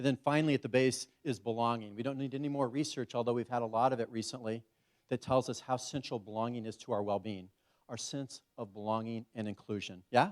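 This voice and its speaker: A man speaks at a fairly quick pace with a medium pitch and fairly even intonation, on a very clean recording with a silent background. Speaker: conference keynote speaker. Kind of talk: conference keynote talk. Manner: fast.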